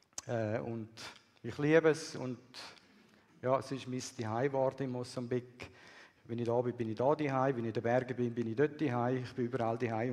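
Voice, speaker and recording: His voice sits at a medium pitch, the intonation flat and monotone. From Swiss, raised partly in Peru and Bolivia. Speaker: missionary. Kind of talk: sermon.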